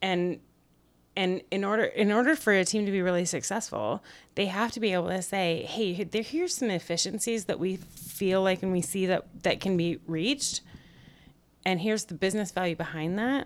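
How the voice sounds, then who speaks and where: A woman speaks at a moderate pace in a normal speaking voice, her medium pitch showing ordinary pitch variation. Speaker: occasional guest co-host. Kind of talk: casual chat.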